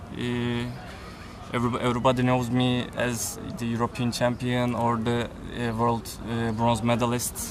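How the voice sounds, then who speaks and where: A man's monotone, flat voice at a moderate pace, with audible room echo and music in the background. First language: Turkish. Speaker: para taekwondo athlete. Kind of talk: interview. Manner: halting, many hesitations.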